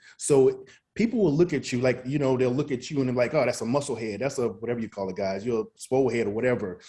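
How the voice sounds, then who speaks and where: A man talks at a very fast pace in a dark, mellow tone. The background is quiet. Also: medium pitch for a man, ordinary pitch variation. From US South, Mississippi. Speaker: chef and motivational speaker. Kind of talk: podcast interview.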